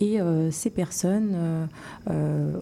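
A woman's plain, everyday voice, fairly low in pitch with ordinary pitch variation. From Morocco. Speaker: surgeon. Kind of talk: interview.

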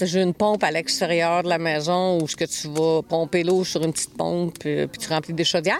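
A woman's fairly low-pitched voice with a Quebec accent, over noticeable background noise. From Quebec, Montreal. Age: 60s. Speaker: off-grid homesteader. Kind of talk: interview.

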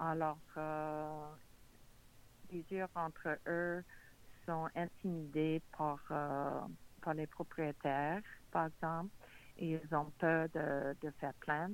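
A woman with an English accent, very deep and low-pitched, monotone and flat, at a very slow pace with long, frequent pauses. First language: English (speaking French). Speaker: borough mayor. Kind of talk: political interview.

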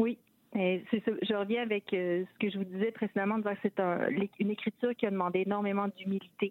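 In a flat monotone at medium pitch, a woman talks at a fairly quick pace with very even loudness. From Quebec City. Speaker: novelist. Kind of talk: interview. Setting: phone call.

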